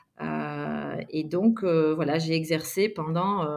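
This woman's voice sits at a fairly low pitch. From Belgium. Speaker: yoga teacher and physiotherapist. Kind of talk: interview.

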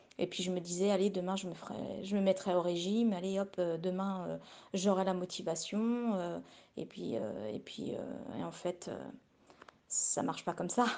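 Ordinary pitch variation and long, frequent pauses run through fairly slow speech. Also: woman, medium pitch for a woman. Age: 40s. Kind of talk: recorded testimony. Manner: halting, many repetitions.

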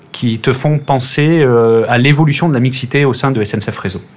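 Over noticeable background noise, a man talks at a moderate pace with a medium pitch and ordinary pitch variation. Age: 30s. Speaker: railway team manager. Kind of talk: casual interview. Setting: remote call.

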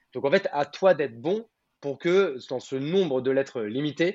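A fairly slow male voice, fairly high for a man, with ordinary pitch variation. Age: 30s. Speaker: entrepreneur. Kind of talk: interview. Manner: hesitant, many fillers.

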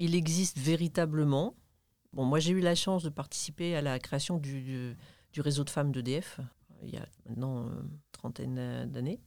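A woman speaks at a moderate pace with a very deep, low pitch, a dark, mellow tone, and ordinary pitch variation. She leaves long, frequent pauses, and the recording is very clean with a silent background. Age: 60s. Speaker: retired engineer and manager. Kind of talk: interview conversation. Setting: studio.

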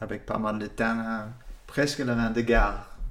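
A man with an American accent, medium pitch, and audible room echo. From California. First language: English (speaking French). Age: 60s. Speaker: winemaker, former sommelier. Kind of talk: interview. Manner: halting.

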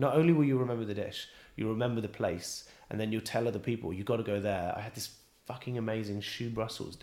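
This man speaks very fast with a West Country accent. His pitch is medium, with ordinary variation. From England, Bristol. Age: 30s. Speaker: chef. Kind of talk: casual interview. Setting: restaurant.

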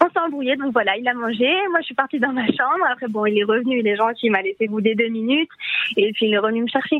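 Ordinary pitch variation marks speech delivered at a very fast pace over noticeable background noise. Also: woman, high pitch for a woman. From Paris. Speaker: radio caller. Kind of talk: casual phone-in chat, storytelling. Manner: laughing, lively.

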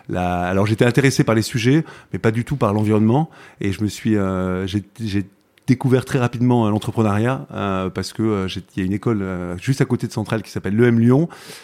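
On a very clean recording with a silent background, a man talks at a fairly quick pace. His pitch is fairly low, with ordinary variation. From southern France, Provence. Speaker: tech entrepreneur. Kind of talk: interview conversation. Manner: halting, many repetitions.

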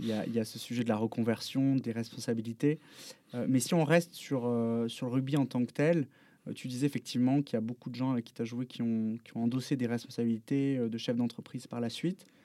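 On a very clean recording with a silent background, a man speaks at a fairly quick pace. His medium-pitched voice has a dark, mellow tone and fairly even intonation. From Bordeaux, France. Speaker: podcast host. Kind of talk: casual interview. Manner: halting.

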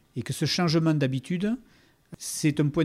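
A man speaks at a moderate pace with ordinary pitch variation and a dark, mellow tone. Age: 50s. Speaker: agricultural cooperative manager. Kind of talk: interview. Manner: halting.

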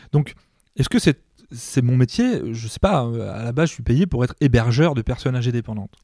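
In a dry, close recording with no echo, a man talks at a moderate pace with a dark, mellow, somewhat breathy tone and medium pitch. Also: ordinary pitch variation. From France, Mayenne. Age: 40s. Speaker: nursing home director. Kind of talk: podcast interview. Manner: hesitant, many fillers.

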